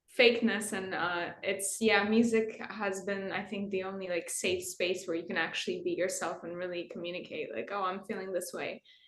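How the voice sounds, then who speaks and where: Against noticeable background noise, a woman talks at a moderate pace with hardly any pauses, using a medium pitch and a monotone, flat intonation. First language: not English. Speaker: guitarist in a metal band. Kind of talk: interview.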